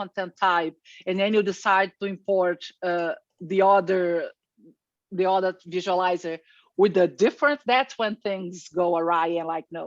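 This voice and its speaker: In an unremarkable speaking voice, a woman with a medium pitch and ordinary pitch variation speaks in a dry, close sound with no echo against a quiet background. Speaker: software presenter. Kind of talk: tutorial.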